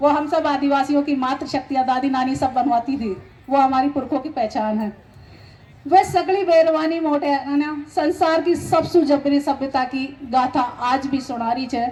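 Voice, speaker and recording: A woman talks in a high voice, her pitch varying in an ordinary way. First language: Meeni (Meena dialect) (speaking Hindi). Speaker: poet. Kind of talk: speech at a gathering.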